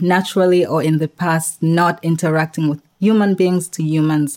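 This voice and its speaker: A woman delivers her words in a flat monotone at a fairly low pitch and a moderate pace. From Tanzania. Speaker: health-tech founder. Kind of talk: interview. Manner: hesitant with frequent fillers.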